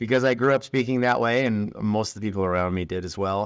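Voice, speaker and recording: A man with a fairly low pitch, an American accent, and an ordinary speaking voice, at a fairly quick pace with ordinary pitch variation, on a very clean recording with a silent background. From North Dakota (Grand Forks), US Upper Midwest. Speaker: healthcare company CEO. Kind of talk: interview conversation.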